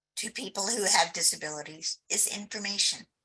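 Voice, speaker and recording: A woman's bright, sharp tone edged with vocal fry. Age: 60s. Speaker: accessibility advocate, birder. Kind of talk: webinar presentation.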